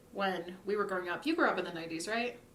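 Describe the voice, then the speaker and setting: Noticeable background noise and audible room echo surround a woman speaking at medium pitch with ordinary pitch variation. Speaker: video creator interviewing a friend. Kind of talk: casual interview conversation.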